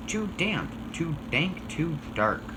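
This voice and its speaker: A man puts on a squeaky character voice pitched high, with noticeable noise in the background. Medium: read story.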